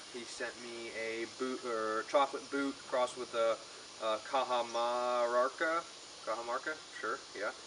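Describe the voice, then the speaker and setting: A man talks at a medium pitch and a fairly slow pace. His intonation is fairly even, and noticeable background noise is present. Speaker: pepper reviewer. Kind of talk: casual video review. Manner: loud; halting, many fillers.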